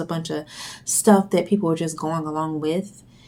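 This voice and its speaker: Soft-spoken, a woman talks at a moderate pace with fairly even intonation. Her voice has a fairly low pitch and a dark, mellow tone. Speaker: video blogger. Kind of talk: monologue vlog. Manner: hesitant, many fillers.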